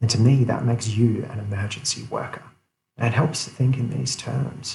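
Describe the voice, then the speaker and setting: A man whispers quietly in a somewhat breathy voice. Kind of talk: motivational talk to camera. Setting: office. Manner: whispered, quiet.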